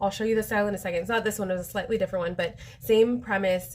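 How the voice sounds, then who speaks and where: Her voice somewhat breathy, a woman speaks at medium pitch with ordinary pitch variation. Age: 40s. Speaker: direct sales consultant. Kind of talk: live product demo. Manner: casual, chatty with many fillers.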